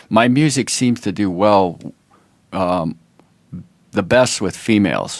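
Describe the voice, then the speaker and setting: A man's fairly low voice, very slow, with long, frequent pauses and ordinary pitch variation. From US Midwest, Toledo, Ohio. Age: 60s. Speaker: musician. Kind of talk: casual chat. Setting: podcast interview.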